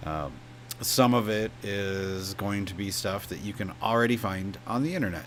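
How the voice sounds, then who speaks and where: There is audible room echo and noticeable background noise. A man speaks at a moderate pace with a fairly low pitch. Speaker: DIY video creator. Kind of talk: channel introduction. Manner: casual, with filler words.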